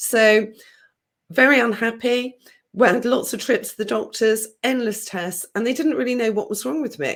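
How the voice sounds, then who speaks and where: A woman in a southern English accent speaks at a fairly high pitch and moderate pace with ordinary pitch variation, on a very clean recording with a silent background. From southern England, countryside, born London. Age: 50s. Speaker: healer. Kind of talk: interview.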